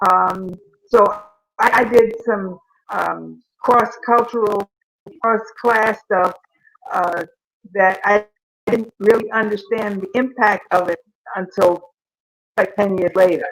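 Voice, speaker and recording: Long pauses come often as a woman talks very slowly. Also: medium pitch for a woman, fairly even intonation. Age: 70s. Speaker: civil rights activist. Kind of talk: casual chat.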